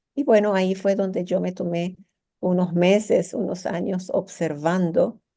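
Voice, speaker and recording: Her voice is dark and mellow in tone, and this woman speaks at a fairly low pitch with fairly even intonation. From Venezuela, after childhood in Iraq and Lebanon. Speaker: psychotherapist and business mentor. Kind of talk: interview. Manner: halting, with many repetitions.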